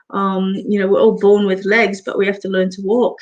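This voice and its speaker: A woman at medium pitch with a slight English accent and monotone, flat intonation. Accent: slight English accent picked up in the UK. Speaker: psychic medium and barber. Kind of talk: live stream Q&A chat. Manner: hesitant with many fillers.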